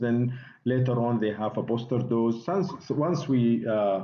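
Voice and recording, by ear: A man speaks slowly at medium pitch, with audible room echo around him.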